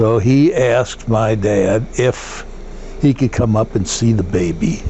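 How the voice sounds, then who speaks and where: There is noticeable background noise behind this recording. A man with an American accent speaks at a fairly low pitch. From US Midwest, St. Louis area, Missouri. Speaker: war veteran. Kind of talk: oral history interview. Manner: halting, with fillers.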